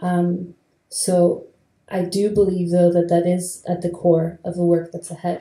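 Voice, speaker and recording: A woman speaks fairly slowly at a fairly low pitch, her dark, mellow tone somewhat breathy and her intonation monotone and flat. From Venezuela. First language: Spanish. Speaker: theatre artist. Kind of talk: panel discussion. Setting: stage with audience.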